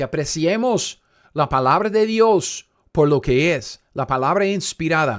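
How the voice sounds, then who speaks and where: A man with a non-native accent, fairly slow and animated, his pitch swinging very widely, on a very clean recording with a silent background. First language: not Spanish (speaking Spanish). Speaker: Bible teacher. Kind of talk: Bible study teaching.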